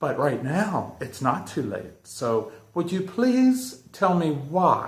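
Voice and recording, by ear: Somewhat breathy, the voice travels across very wide pitch swings. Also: man.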